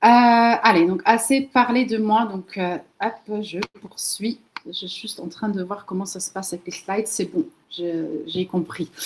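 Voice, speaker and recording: With a Dutch accent, a woman speaks at a fairly slow pace and a medium pitch, her pitch varying in an ordinary way as her loudness swings widely. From Netherlands, moved to France very young. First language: Dutch (speaking French). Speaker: LinkedIn marketing trainer, entrepreneur. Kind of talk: webinar presentation. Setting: video call webinar.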